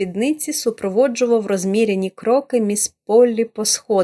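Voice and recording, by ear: Against a quiet background, the speaker is reading aloud in a natural voice.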